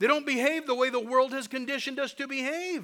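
A bright, sharp tone comes through. The voice is raised and projected outward. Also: man. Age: 50s. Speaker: pastor. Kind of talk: sermon. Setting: church. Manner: animated.

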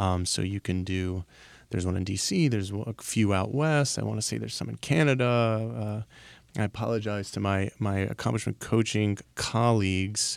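A man with an ordinary speaking voice, fairly low in pitch with ordinary pitch variation, at a moderate pace, on a very clean recording with a silent background. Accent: American. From Baltimore, US. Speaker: life coach. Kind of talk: interview. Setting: studio.

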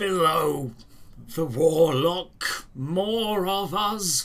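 A put-on character voice at a middle pitch, very slow in pace. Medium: audio drama. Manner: halting, broken phrases.

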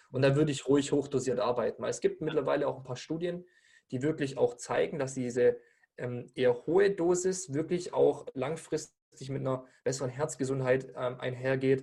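A man's somewhat breathy, fairly high voice at a moderate pace, with fairly even intonation. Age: 20s. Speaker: weight-loss and nutrition coach. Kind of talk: podcast interview. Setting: studio with camera.

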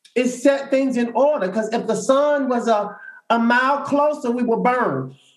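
With audible room echo around him, a man speaks at an extremely high pitch, keeping his intonation fairly even and his pace moderate. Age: 50s. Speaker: social worker and spiritual coach. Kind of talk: group discussion.

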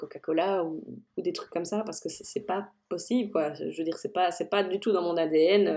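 A woman talks fairly quickly, her fairly low voice moving with ordinary pitch variation. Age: 30s. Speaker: food blogger and culinary photographer. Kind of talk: interview. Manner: animated.

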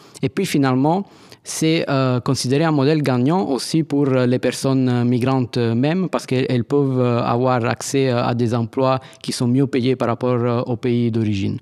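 Using an Italian accent, a man speaks at a fairly slow pace in a medium pitch, with fairly even intonation, very even loudness, and a dry, close sound with no echo. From Italy, Naples. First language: Italian (speaking French). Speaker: anthropologist. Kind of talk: interview. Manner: hesitant, many fillers.

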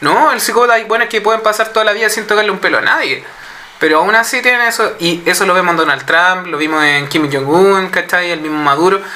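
A man with a Chilean accent uses a raised, projected voice at a high pitch and a very fast pace. His intonation is lively, with noticeable background noise behind him. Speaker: podcast panelist. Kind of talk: casual chat.

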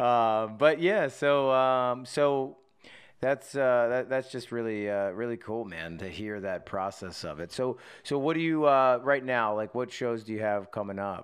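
In an ordinary speaking voice, a man talks at medium pitch and a fairly slow pace, with ordinary pitch variation over a quiet background. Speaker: podcast host. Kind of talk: casual chat. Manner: laughs often, casual.

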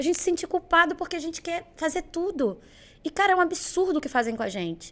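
Her pitch is extremely high and her pace is very fast. The woman's pitch varies in an ordinary way. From Belo Horizonte, Minas Gerais, Brazil; moved to Rio at 11. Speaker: entrepreneur and sales mentor. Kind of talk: casual interview.

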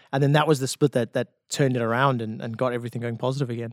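A man with a South African accent and a medium-pitched voice talks very fast in a monotone, flat intonation. The sound is dry and close, with no echo. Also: very clean recording, silent background. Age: 30s. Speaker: esports caster and former pro player. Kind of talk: casual chat.

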